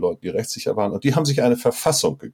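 Dark and mellow in tone, a man speaks at a medium pitch. The recording is very clean with a silent background. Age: 50s. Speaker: guest expert on democracy and faith. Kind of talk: casual interview conversation.

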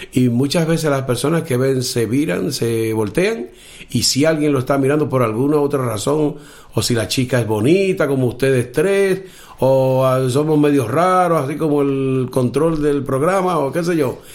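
A man with a Dominican accent talks at a moderate pace in a fairly high pitch, with ordinary pitch variation and very even loudness. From Dominican Republic, Cibao valley in the north. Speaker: blind musician and aspiring orchestra conductor. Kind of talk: casual interview.

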